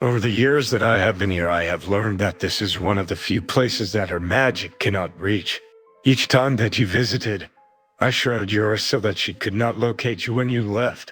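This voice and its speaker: A man performs a put-on character voice at a moderate pace while faint music plays in the background. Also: fairly low pitch for a man. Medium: audio drama. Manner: menacing, smug.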